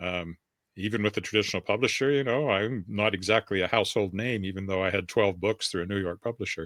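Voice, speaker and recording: A very fast American accent with ordinary pitch variation, in a very clean recording with a silent background and a dry, close sound with no echo. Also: man, fairly low pitch for a man. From US Southwest (New Mexico, Texas). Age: 60s. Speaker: author. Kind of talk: interview.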